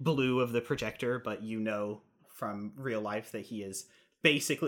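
A natural voice reading aloud.

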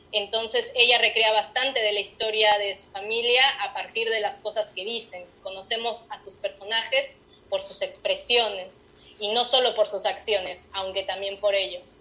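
The intonation is monotone and flat, delivered at a moderate pace. Loudness swings widely throughout. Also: woman, fairly high pitch for a woman. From Mexico City. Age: 30s. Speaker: writer. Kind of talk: interview. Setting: remote call.

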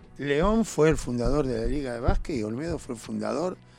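A man's fairly high voice with lively intonation, music playing behind it. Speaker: youth basketball coach. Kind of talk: radio interview.

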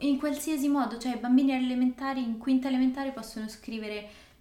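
A woman with a high pitch and monotone, flat intonation, at a fairly quick pace, over noticeable background noise. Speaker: language-learning podcast co-host. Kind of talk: casual chat. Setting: indoors, evening on a couch.

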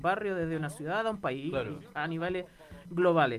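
A woman speaks at a fairly quick pace in a fairly low pitch, her pitch rising and falling in an ordinary way. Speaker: radio co-host, teacher. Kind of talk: casual chat.

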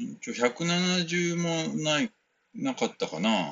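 A man talks in a relaxed tone. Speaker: podcast host and West African music performer. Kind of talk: casual solo talk answering listener mail. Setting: converted shed room at home, no air conditioning. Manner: relaxed, many filler words.

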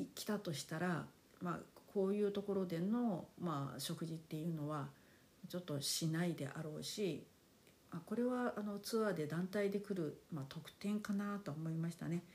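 A woman talks at a moderate pace in a fairly low, somewhat breathy voice, with a relaxed tone and ordinary pitch variation. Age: 50s. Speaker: podcast host. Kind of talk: casual monologue. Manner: polite, relaxed.

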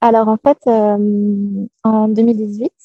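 A woman speaks at a fairly high pitch in a dark, mellow, somewhat breathy tone. Her intonation is monotone and flat, and the sound is dry and close with no echo. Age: 30s. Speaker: digital nomad entrepreneur. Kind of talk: interview. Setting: video call.

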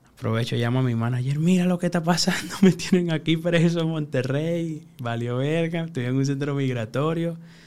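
A man talks at a moderate pace with hardly any pauses. His voice sits fairly high. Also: ordinary pitch variation. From Venezuela (Caracas hillside barrio). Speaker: freestyle rapper. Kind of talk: casual interview.

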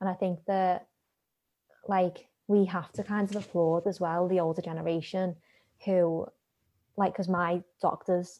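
Against a quiet background, a woman with a Liverpool accent speaks with a fairly low pitch and a dark, mellow tone in monotone, flat intonation. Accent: Liverpool (Scouse). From Liverpool, England. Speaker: scientist. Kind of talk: interview. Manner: hesitant, many fillers.

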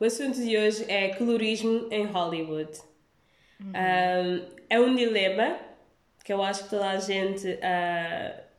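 In a room with audible echo, a woman at medium pitch talks fairly slowly with fairly even intonation. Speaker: podcast host. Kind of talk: casual chat.

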